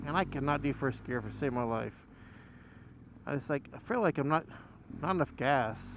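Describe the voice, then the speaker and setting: With vocal fry and a fairly high pitch, a man talks at a moderate pace with ordinary pitch variation and long, frequent pauses. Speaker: motovlogger. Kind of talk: casual monologue while riding. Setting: on a motorcycle, helmet mic. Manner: loud; halting, many fillers.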